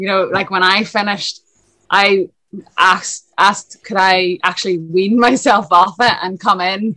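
A woman speaks with a Northern Irish accent at a medium pitch. Her tone is bright and sharp. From Lisburn, Northern Ireland. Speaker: swim coach and former international swimmer. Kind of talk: casual interview.

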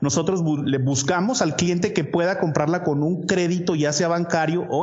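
Speaking at a moderate pace with a Mexican accent, a man is heard over noticeable background noise and audible room echo. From Mexico. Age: 30s. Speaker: real estate investor. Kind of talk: interview.

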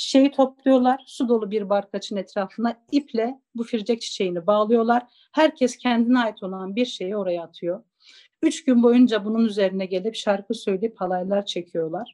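Moving at a moderate pace, a woman has a fairly high pitch with ordinary variation. Her tone is dark and mellow. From Zaza-speaking village in eastern Turkey. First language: Zazaki (speaking Turkish). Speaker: interviewee on minority languages. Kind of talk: storytelling; interview.

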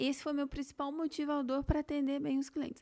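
This is a very clean recording with a completely silent background. The speaker is a woman. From Campinas, São Paulo state, Brazil. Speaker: business CEO and author. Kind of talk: podcast interview, conversational. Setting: studio.

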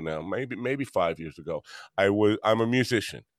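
A man's fairly low voice with a New York accent and lively intonation, in a very clean recording with a silent background and a dry, close sound free of echo. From Long Island, New York. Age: 60s. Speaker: podcast host and musician. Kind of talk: interview.

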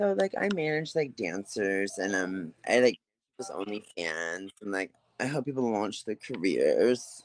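An unremarkable speaking voice with an American accent, at a fairly slow pace, with lively intonation and a dry, close sound with no echo. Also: man, fairly low pitch for a man. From US, Baltimore, Maryland. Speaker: nightlife promoter and talent manager. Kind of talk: casual chat.

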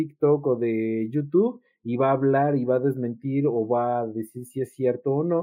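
A man's normal speaking voice, fairly high-pitched, at a fairly slow pace with fairly even intonation. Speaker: psychologist. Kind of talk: casual chat.

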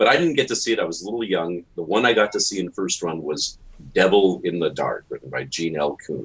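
A man in a Canadian accent at a fairly quick pace. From Canada, Toronto. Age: 50s. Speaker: science fiction author. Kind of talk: casual interview.

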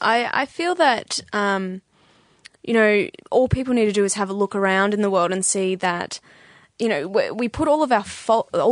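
A woman talks with an Australian accent and ordinary pitch variation. The sound is dry and close with no echo, over a quiet background. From Australia, Bendigo (Victoria). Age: 20s. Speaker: podcast guest. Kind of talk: casual chat.

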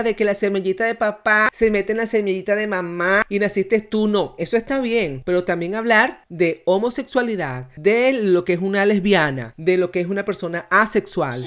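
An unremarkable speaking voice, a woman at a medium pitch with ordinary pitch variation and a fairly quick pace. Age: 40s. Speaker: podcast host. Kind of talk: casual chat.

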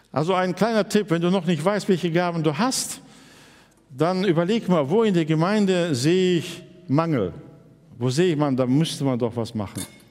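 Over noticeable background noise, a man with a high voice talks at a moderate pace with lively intonation and long, frequent pauses. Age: 60s. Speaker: pastor. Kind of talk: sermon.

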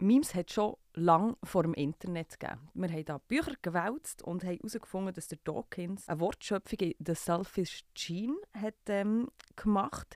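Heard on a very clean recording with a silent background, a woman speaks at a moderate pace in a dark, mellow tone, with a dry, close sound and no echo. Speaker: podcast host. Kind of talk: scripted narration; casual chat.

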